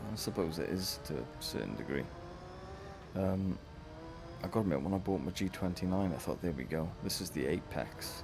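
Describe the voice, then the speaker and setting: There is audible room echo and noticeable background noise around a man's very deep, low-pitched voice. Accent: Welsh. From West Wales. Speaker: gaming streamer. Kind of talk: live gameplay commentary. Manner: casual, chatty. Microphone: voice may be too quiet under game audio.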